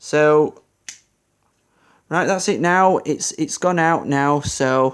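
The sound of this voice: With a clear, smooth tone and fairly high pitch, a man speaks at a slow pace with ordinary pitch variation.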